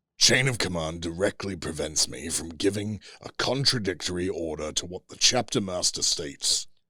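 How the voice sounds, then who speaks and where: A man puts on a character voice, very deep and low, talking at a moderate pace with hardly any pauses. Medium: read story. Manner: gentle yet overwhelming, measured.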